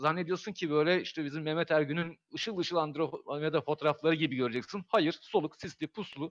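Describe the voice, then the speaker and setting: The man talks at a fairly quick pace in a high pitch, with a dry, close sound and no echo. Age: 40s. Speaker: amateur astronomer. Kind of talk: casual chat. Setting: live stream.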